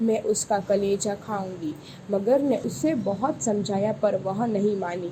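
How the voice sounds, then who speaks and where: A woman has an ordinary speaking voice at a medium pitch. Her intonation is lively. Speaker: voice over artist. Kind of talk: children's story narration.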